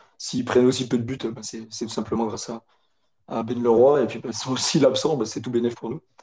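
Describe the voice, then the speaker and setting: At a fairly quick pace, a man talks in a monotone, flat way, his voice somewhat breathy and medium in pitch. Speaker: football fan. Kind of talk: casual chat.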